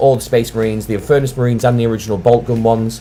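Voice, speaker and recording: A man with a Lancashire accent talks at a very fast pace while music plays in the background. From Lancashire, northern England. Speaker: wargaming channel host. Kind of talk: casual live stream chat. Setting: live stream.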